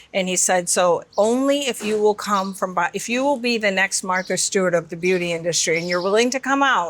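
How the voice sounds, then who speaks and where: With an American accent, a woman talks at a fairly quick pace with hardly any pauses, using an ordinary speaking voice at medium pitch and ordinary pitch variation. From Michigan, US. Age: 50s. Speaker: beauty company founder and CEO. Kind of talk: interview conversation.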